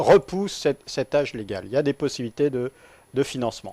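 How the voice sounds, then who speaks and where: Recorded with a dry, close sound and no echo, a man speaks in a plain, everyday voice. His pitch is medium with ordinary variation, at a moderate pace. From central France (Nevers, Massif central). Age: 40s. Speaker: trade unionist, railway worker. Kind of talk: radio interview. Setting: studio.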